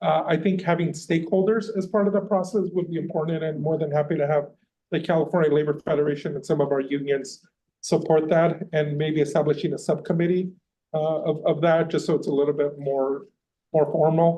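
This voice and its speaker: Talking at a fairly quick pace, a man uses a fairly high pitch and fairly even intonation. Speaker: labor union representative giving public comment. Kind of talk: public comment at a board meeting. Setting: meeting room, in person. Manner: loud.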